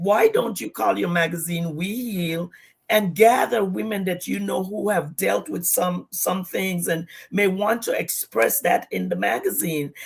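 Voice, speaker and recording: In a Virgin Islands accent, a woman talks at a fairly slow pace. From US Virgin Islands, Saint Thomas. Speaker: pastor and entrepreneur. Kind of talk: livestream interview.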